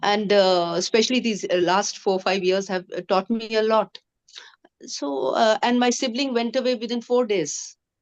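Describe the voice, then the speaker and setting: A woman speaks in a normal speaking voice with a fairly high pitch. Her pitch variation is ordinary, and her pace is moderate. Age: 60s. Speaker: cancer survivor. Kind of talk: testimony. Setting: video call.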